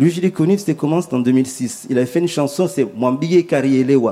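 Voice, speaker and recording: At a fairly quick pace, a man speaks with medium pitch, a dark, mellow tone and lively intonation. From Comoros. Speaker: musician. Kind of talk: panel discussion. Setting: live public broadcast in a restaurant.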